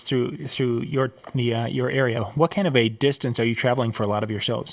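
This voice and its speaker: A man speaks at a medium pitch with ordinary pitch variation and hardly any pauses. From Minnesota. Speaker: show host. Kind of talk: interview.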